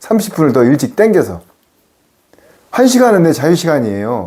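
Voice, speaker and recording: This man's fairly high voice has a dark, mellow tone and very wide pitch swings. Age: 60s. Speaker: pastor. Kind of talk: sermon. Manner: animated.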